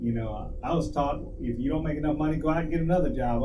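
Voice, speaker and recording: A man with an American accent speaks very fast amid noticeable background noise and audible room echo. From US, child of Guamanian parents. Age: 60s. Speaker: talk show co-host. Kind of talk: casual chat. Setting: live stream.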